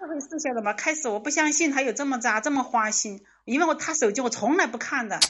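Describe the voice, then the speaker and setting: A woman speaks in a high pitch at a very fast pace. Her pitch varies in an ordinary way. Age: 30s. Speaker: caller seeking relationship advice. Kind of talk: call-in advice conversation. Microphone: laggy connection.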